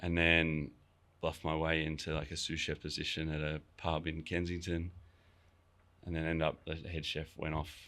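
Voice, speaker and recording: An Australian accent from a man with a very deep, low pitch, a bright, sharp tone, monotone, flat intonation and a moderate pace. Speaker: chef and restaurant owner. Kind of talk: casual interview chat. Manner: casual, many fillers and restarts.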